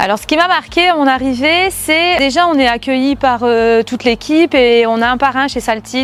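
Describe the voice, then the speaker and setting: A woman speaks at a moderate pace with a high-pitched voice. Her pitch rises and falls in an ordinary way. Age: 30s. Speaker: sales manager. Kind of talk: corporate testimony. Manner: hesitant, frequent filler sounds.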